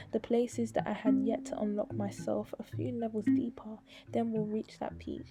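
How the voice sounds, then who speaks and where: A woman speaks at a moderate pace. Music is playing in the background. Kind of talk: spoken word poem; poetry reading.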